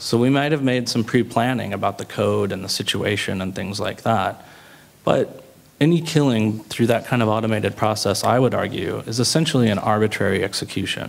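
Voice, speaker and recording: A man speaks in a normal speaking voice at a fairly quick pace. His pitch sits in the medium range with ordinary variation. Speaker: panelist. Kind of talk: panel debate.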